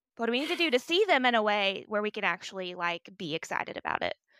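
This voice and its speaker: In a Southern US accent, a woman talks very fast with a bright, sharp tone and very wide pitch swings, dry and close with no echo on a very clean recording with a silent background. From US South. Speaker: podcast co-host. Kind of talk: casual chat.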